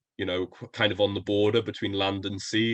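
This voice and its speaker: A man with a Welsh accent speaks at a fairly quick pace, his fairly low pitch held in a monotone, flat intonation. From Wales, coastal area. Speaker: podcast guest, university student. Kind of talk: casual interview chat.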